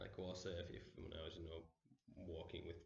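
A man speaks with a very deep, low pitch at a moderate pace. His voice is somewhat breathy, with audible room echo. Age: 30s. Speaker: meditation teacher. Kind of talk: lecture. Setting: stage with audience. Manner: halting. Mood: relaxed, reflective. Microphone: camera far.

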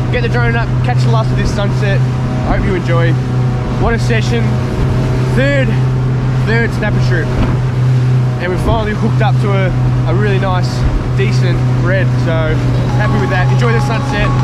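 Long, frequent pauses at a moderate pace, with loud background noise and a dry sound with no echo. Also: man. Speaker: fishing vlogger. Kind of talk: casual vlog chat. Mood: happy, relaxed. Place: boat. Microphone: phone near.

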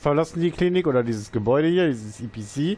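A man with a normal speaking voice talks at a fairly high pitch, his intonation lively. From eastern Germany, near Leipzig. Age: 30s. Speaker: gaming YouTuber. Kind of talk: let's play commentary. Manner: casual, chatty.

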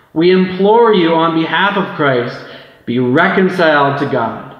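Audible room echo surrounds a man's voice. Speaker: preacher. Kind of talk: scripture reading in a sermon. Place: church. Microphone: camera far.

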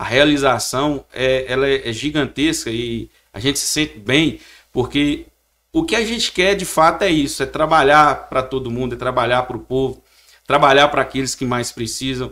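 A man's bright, sharp tone at a moderate pace, with ordinary pitch variation and a quiet background. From Chapada do Norte, Minas Gerais, Brazil; Minas Gerais, Brazil. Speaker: town mayor. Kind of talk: political interview. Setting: studio. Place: studio. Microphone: studio mic.

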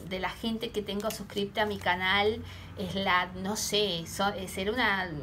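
Fairly slowly, a woman talks while noticeable noise persists behind her. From Argentina. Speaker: tarot reader. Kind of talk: tarot reading vlog. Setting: home, camera recording. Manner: hesitant, with many fillers. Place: home room. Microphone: phone near.

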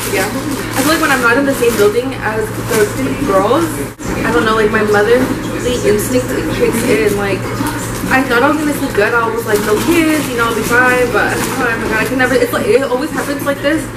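Loud background noise sits behind a woman's voice. She speaks at a fairly quick pace with ordinary pitch variation. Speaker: travel vlogger. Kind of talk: casual vlog chat. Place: cafe. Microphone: phone near.

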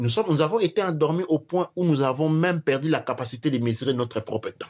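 Big swings in loudness and lively intonation mark this very fast delivery. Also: man. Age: 40s. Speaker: teacher of African spirituality and history. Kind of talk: lecture-style discussion.

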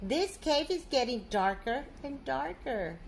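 With a high pitch and big pitch swings, a woman talks at a slow pace.

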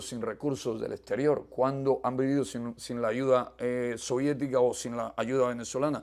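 Over a quiet background, a man talks at a moderate pace with a medium pitch. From eastern Cuba. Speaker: political dissident. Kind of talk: interview testimony. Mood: earnest, firm. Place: home room.

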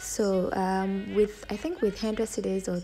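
A woman's intonation stays fairly even. Light background noise can be heard. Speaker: travel vlogger. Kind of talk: casual vlog chat. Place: station. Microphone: phone near.

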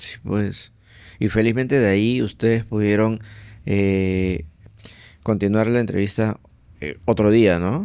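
Over a quiet background, a man with a fairly low pitch and a dark, mellow tone speaks at a very slow pace with fairly even intonation and long, frequent pauses. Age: 40s. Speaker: podcast host. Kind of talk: casual chat. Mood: relaxed, friendly. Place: studio. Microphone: studio mic.

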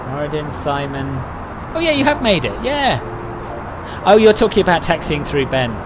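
Over noticeable background noise, a man talks at a moderate pace, his fairly high pitch making very wide swings. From London, England. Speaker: flight sim streamer. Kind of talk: live stream chat. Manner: casual, frequent fillers.

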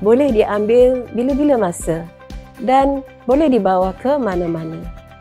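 A woman's fairly high voice with lively intonation at a very slow pace, over background music. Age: 60s. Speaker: product distributor. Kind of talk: testimonial.

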